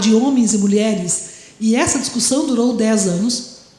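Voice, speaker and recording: The voice belongs to a woman. The room adds audible echo. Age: 60s. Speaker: history professor. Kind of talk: lecture.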